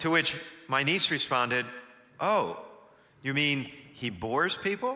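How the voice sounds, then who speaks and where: With very wide pitch swings, a man speaks at a fairly slow pace in a fairly high pitch. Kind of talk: church homily / sermon. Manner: engaging, energetic, conversational.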